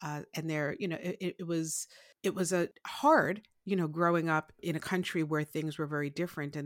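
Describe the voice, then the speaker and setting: With a New York accent, a woman talks at a moderate pace and with fairly even intonation, the sound dry and close with no echo in a very clean recording with a silent background. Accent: New York American. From Brooklyn, New York. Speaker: life strategist. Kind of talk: interview.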